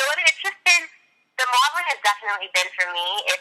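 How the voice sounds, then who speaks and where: A woman is speaking. She has a Californian accent. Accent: Californian American. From Los Angeles, US. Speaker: model and singer. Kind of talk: interview. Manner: lots of fillers and hesitations.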